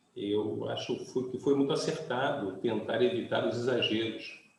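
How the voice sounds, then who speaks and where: Room echo can be heard. Through it, a man talks at a fairly slow pace. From Brazil, Rio de Janeiro. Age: 60s. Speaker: pastor. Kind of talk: sermon.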